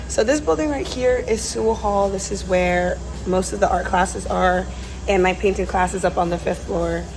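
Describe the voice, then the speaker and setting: Noticeable background noise and audible room echo are present. A woman speaks at a moderate pace. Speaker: student vlogger. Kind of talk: casual vlog. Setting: art studio. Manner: quiet.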